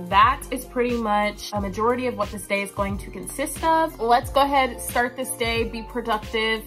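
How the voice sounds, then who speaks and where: Clear music plays behind a woman who speaks with hardly any pauses. Her loudness swings widely. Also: moderate pace. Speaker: vlogger. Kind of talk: casual vlog chat. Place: home room. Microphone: phone near.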